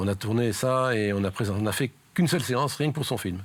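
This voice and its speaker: A man's fairly low voice proceeds at a moderate pace. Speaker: amateur film club founder. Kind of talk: interview answer.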